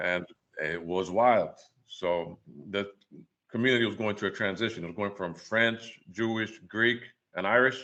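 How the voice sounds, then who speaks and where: The speech comes at a moderate pace in a New York accent, with fairly even intonation. Long pauses break it up often. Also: man, fairly low pitch for a man. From New York City, Washington Heights. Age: 40s. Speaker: photographer. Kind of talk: casual chat.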